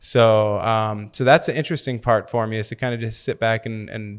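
Over a very clean recording with a silent background, a man with an American accent talks at a moderate pace in an ordinary speaking voice of medium pitch. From Milwaukee, Wisconsin. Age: 30s. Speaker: professional foosball player. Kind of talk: casual interview. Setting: at a tournament.

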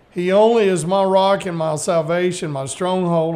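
The pitch is high for this man. He speaks with a Southern US accent. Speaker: radio host. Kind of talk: casual chat. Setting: studio.

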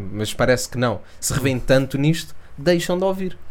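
A man with a European Portuguese accent, his pitch fairly high and his pace fairly quick. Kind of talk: casual chat.

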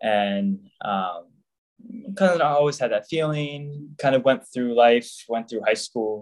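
A man with a normal speaking voice and an American accent talks at a fairly slow pace. His intonation is lively. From US South, Jacksonville, Florida. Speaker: religious brother, deacon candidate. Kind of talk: interview.

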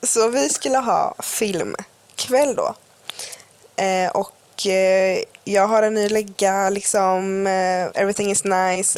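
A woman at a medium pitch, with ordinary pitch variation and a very slow pace, over noticeable background noise. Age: 20s. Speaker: podcast co-host. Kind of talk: casual chat. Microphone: cheap earphone mic.

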